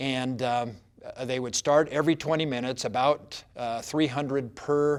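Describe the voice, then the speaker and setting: A man with a medium-pitched voice and fairly even intonation is heard on a very clean recording with a silent background. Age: 60s. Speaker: doctor. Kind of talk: personal story. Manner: halting, many fillers.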